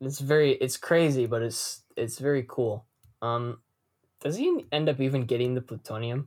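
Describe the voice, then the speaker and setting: Moderately paced, a man with a plain, everyday voice speaks at a medium pitch and fairly even intonation. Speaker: podcast host. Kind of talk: casual chat.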